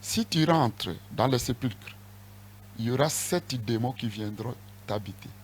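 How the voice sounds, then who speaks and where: A man's voice comes across as somewhat breathy. He talks fairly slowly, with lively intonation. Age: 60s. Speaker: apostle, church leader. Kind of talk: interview.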